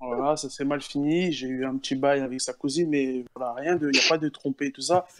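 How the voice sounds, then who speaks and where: A man speaks in a plain, everyday voice at a fairly high pitch, with fairly even intonation and a moderate pace. He leaves hardly any pauses, and the sound is dry and close with no echo. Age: 20s. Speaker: university student. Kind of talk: casual chat. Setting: online voice chat.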